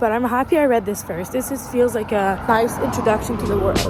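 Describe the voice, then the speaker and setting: Noticeable background noise sits behind a woman speaking fairly quickly at a high pitch. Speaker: booktuber. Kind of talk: casual reading vlog. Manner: animated.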